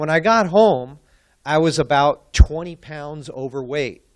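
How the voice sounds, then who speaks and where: Moderate pace over a quiet background. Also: man. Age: 60s. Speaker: client of a personal trainer, conference speaker. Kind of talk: testimony. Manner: casual, halting with fillers.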